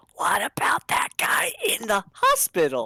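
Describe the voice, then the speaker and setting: Whispering in a breathy, put-on character voice that sounds female, the speaker goes at a fairly slow pace. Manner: horrible whisper.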